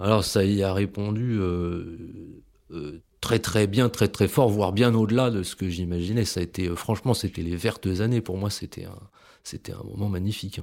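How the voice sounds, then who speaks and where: In a very clean recording with a silent background, a man with a fairly low voice talks at a moderate pace, his intonation fairly even and his loudness swinging widely. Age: 30s. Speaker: ecologist. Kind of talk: interview testimony. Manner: halting, many repetitions.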